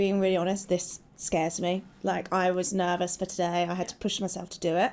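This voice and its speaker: A woman with a British accent speaks at a fairly quick pace in a monotone, flat delivery and a medium pitch, on a very clean recording with a silent background. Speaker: talent acquisition director. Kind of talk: panel discussion. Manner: loud.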